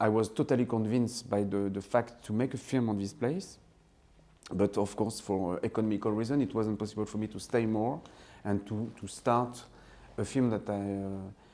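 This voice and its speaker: A man speaks at a moderate pace with a French accent. His fairly low voice has a dark, mellow tone and fairly even intonation. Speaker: film director. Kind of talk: interview. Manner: halting, many fillers and restarts.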